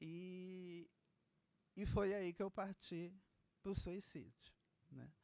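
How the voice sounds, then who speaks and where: Very slow speech is marked by long pauses that come often. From Brazil, Belém do Pará. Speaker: panel speaker, suicide survivor. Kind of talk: personal testimony at a panel talk. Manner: halting, repeats words.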